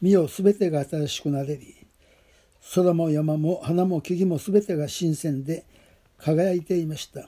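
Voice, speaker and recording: At a fairly slow pace, a man speaks in a high pitch with fairly even intonation. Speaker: pastor. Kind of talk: testimony.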